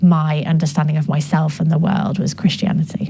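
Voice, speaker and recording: A woman with a northern English accent, noticeable background noise behind her. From northern England. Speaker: gender justice specialist and author. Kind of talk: interview. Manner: hesitant, many fillers.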